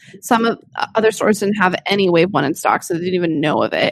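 Here is a woman with an ordinary speaking voice at medium pitch and ordinary pitch variation. The sound is dry and close, with no echo. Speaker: podcast host. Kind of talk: casual chat. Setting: video call.

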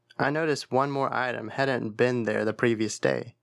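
On a very clean recording with a silent background and a dry, close sound with no echo, a man of medium pitch talks at a moderate pace with fairly even intonation and vocal fry. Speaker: audiobook-style horror narrator. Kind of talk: ghost story telling, dramatic first-person creepypasta narration.

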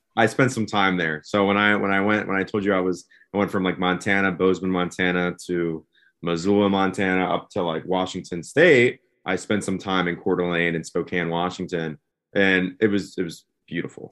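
Speaking at a moderate pace with an American accent, this man has a very deep, low pitch and fairly even intonation. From US Northeast, Philadelphia area. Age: 20s. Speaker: van-life traveler. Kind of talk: casual chat.

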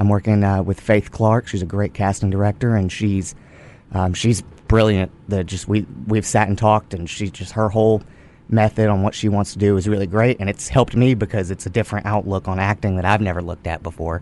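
Using a Texan accent, a man with a fairly low pitch talks at a fairly quick pace with fairly even intonation. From Texas, Goldthwaite. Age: 20s. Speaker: actor. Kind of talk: casual chat. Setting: studio.

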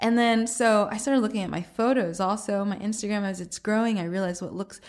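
A woman's plain, everyday voice, medium in pitch, with an American accent, fairly even intonation and moderate pace, in a very clean recording with a silent background. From US South, Atlanta. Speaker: vegan food blogger. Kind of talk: interview.

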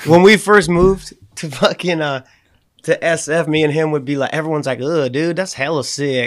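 With an American accent, a man talks at a moderate pace in a plain, everyday voice, fairly high in pitch with ordinary pitch variation. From Boston area, US. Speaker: skateboarder. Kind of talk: casual chat.

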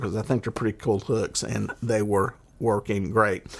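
With a Southern US accent, a man talks at a moderate pace. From US South. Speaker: fishing podcaster and charter guide. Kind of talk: solo podcast monologue. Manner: casual, rambling.

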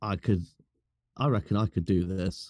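Fairly quick and fairly low, a man's dark, mellow voice with a British accent comes through in a very clean recording with a silent background. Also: dry, close sound with no echo. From UK. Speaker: fellow podcaster. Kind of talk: casual chat.

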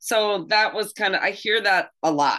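Against a quiet background, a woman talks with vocal fry and very wide pitch swings. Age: 50s. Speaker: podcast co-host. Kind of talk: casual interview chat.

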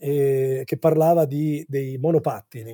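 A somewhat breathy man's voice at a fairly high pitch, dark and mellow in tone, in a dry, close sound with no echo. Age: 50s. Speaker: advertising executive and singer-songwriter. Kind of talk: interview. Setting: office. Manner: halting.

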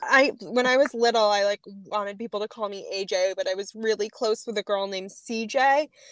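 A woman with a slight Boston accent, fairly high pitch, ordinary pitch variation, a moderate pace with hardly any pauses, and a dry, close sound with no echo. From Boston area (Needham). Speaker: artist. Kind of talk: casual chat.

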